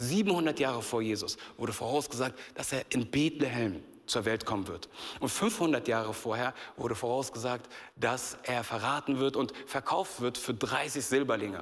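This man talks at a fairly slow pace in a medium pitch, his tone animated and his pitch varying in an ordinary way. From Berlin, Germany. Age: 30s. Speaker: youth pastor. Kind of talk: sermon. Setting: church stage with audience.

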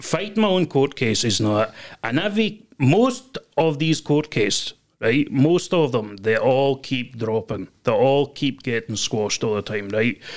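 Speaking at a fairly slow pace, a man of medium pitch makes very wide pitch swings. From Scotland. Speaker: guest, man recounting a court case. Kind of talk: casual chat. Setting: podcast studio. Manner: rambling, halting, repeats words.

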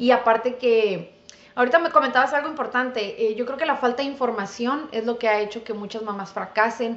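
Recorded with noticeable background noise and audible room echo, a woman talks fairly quickly in a high voice with ordinary pitch variation. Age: 30s. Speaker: dentist. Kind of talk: casual interview.

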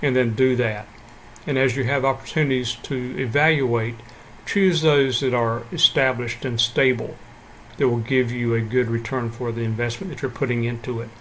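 A man with an unremarkable speaking voice talks at a moderate pace in a medium pitch with fairly even intonation. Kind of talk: short devotional talk followed by fervent prayer. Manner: earnest, warm, fervent and heartfelt in prayer; calm, measured, encouraging.

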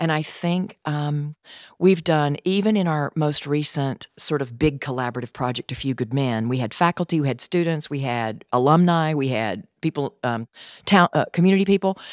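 A woman with a Southern US accent speaks at a moderate pace in a very deep, low pitch with lively intonation, on a very clean recording with a silent background and a dry, close sound with no echo. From US South, Tennessee. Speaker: theatre professor. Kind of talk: interview.

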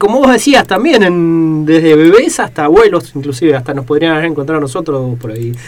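Over noticeable background noise, a man talks at a fairly quick pace with hardly any pauses. His pitch is fairly high and his intonation lively. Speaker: radio host. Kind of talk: radio interview.

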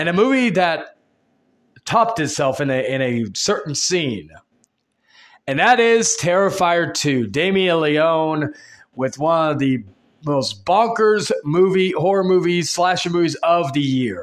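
Over a quiet background, a man with a high pitch talks at a fairly slow pace with lively intonation. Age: 20s. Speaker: podcast host. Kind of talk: solo podcast monologue.

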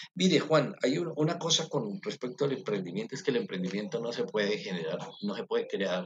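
This man's pitch is fairly high, with very wide swings. He talks at a fairly quick pace. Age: middle-aged. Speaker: university professor. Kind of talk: interview. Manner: halting.

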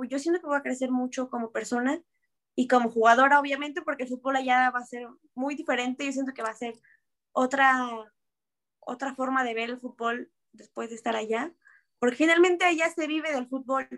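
Her voice high, a woman talks at a fairly quick pace but leaves long, frequent pauses. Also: fairly even intonation. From Mexico. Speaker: professional american football player. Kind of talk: interview.

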